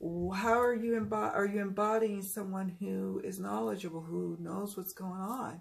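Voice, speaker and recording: Amid audible room echo, a woman of medium pitch speaks in a calm, somewhat breathy tone at a fairly slow pace with fairly even intonation. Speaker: tarot reader. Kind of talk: casual talk to camera.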